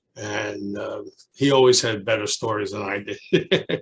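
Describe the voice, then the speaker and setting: At a fairly slow pace, a man with a Brooklyn accent speaks at a medium pitch, somewhat breathy, with ordinary pitch variation. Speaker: retired teacher, alumnus. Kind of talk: oral history interview. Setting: video call. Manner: halting.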